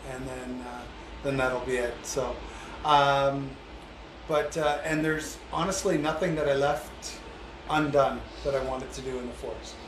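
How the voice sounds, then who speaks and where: A man with a fairly high pitch and fairly even intonation, at a fairly slow pace with long, frequent pauses, amid noticeable background noise and audible room echo. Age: 60s. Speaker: handyman and small contractor, former police officer. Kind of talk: casual interview. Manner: hesitant, many fillers.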